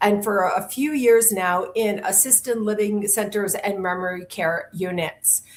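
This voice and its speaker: A woman with an ordinary speaking voice talks at a moderate pace, her pitch medium. The recording is very clean, with a silent background. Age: 60s. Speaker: podcast host. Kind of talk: interview.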